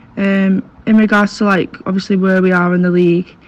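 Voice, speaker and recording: A woman speaks with a northern English accent at a medium pitch, her voice somewhat breathy. Her intonation stays fairly even. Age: 20s. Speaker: rugby league player. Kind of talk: interview.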